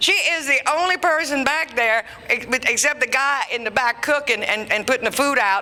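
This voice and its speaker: A woman's raised, projected voice, high in pitch and animated in tone, with lively intonation at a moderate pace over noticeable background noise. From Louisiana. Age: 60s. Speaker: comedian. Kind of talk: stand-up. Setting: stage with audience.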